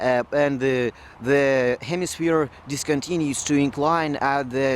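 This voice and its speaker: Fairly slow speech in a non-native accent. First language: not English. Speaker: video blogger. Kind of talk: explainer monologue. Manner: halting, with fillers.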